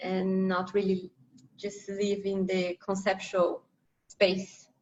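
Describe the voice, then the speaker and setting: A woman's medium-pitched voice with a non-native accent, very slow and in a flat monotone. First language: not English. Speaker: interviewer. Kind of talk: casual chat.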